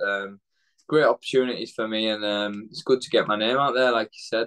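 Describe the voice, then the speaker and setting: With a Yorkshire accent, a man speaks at a fairly quick pace in a monotone with flat intonation against a quiet background. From northern England, Leeds; northern England. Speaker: professional boxer; interviewee. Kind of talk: interview. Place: home room. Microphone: video call.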